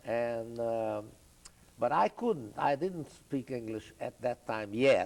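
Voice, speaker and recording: A man with a Hungarian accent speaks at a very slow pace. His pitch is medium, with ordinary pitch variation. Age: 80s+. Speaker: Holocaust survivor. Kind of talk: oral history interview. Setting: video studio. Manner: halting, many fillers.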